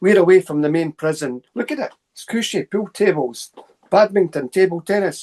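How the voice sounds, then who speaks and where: In a Scottish accent, a man with a high-pitched voice talks with lively intonation, the sound dry and close with no echo. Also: big swings in loudness. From central Scotland, Stirling area. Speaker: paranormal researcher and lecturer. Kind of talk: casual interview storytelling. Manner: fast; animated.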